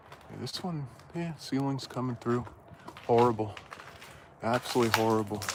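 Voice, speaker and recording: An American-accented man speaks at a moderate pace and medium pitch with ordinary pitch variation. There are long, frequent pauses, big swings in loudness and noticeable background noise. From New Jersey. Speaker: livestreamer exploring abandoned malls. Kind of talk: live-stream walkthrough. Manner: casual, filler-heavy.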